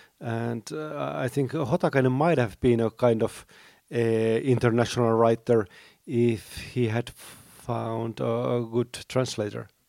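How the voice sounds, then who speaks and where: A man with a Finnish accent speaks at a very slow pace in a dark, mellow tone, on a very clean recording with a silent background and a dry, close sound with no echo. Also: medium pitch for a man, ordinary pitch variation. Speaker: teacher, writer and critic. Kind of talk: panel discussion. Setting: convention stage with audience.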